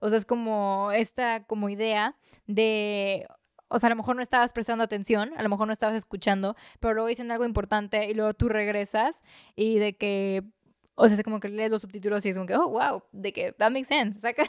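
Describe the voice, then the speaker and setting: Recorded very cleanly against a silent background, a woman talks at a fairly quick pace with fairly even intonation in a dry, close sound with no echo. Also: fairly high pitch for a woman. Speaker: podcast co-host. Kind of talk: casual chat. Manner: calm, relaxing.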